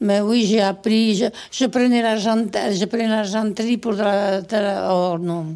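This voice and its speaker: Speaking fairly slowly in a strong southwestern French accent, a woman uses a medium pitch, fairly even intonation and a dark, mellow tone. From Gironde, southwest France. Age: 80s+. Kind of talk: interview answer. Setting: 1970s radio archive.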